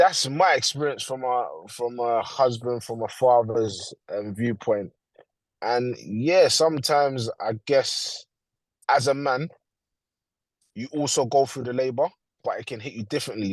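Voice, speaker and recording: In a London accent, a man with a medium pitch speaks at a fairly slow pace with ordinary pitch variation over a quiet background. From London, England. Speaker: father sharing experience. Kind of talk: testimony.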